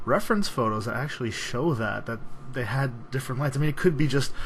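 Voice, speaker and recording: A man is speaking. His intonation is lively. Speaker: hobbyist model builder. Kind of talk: tutorial-style build log narration. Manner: casual, hesitant with fillers.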